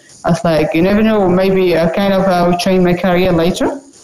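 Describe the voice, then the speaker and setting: A woman with a medium-pitched voice speaks over noticeable background noise. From South Sudan / Sudan, moved to Uganda as a child. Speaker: online university student. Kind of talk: interview. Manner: halting, many fillers and restarts.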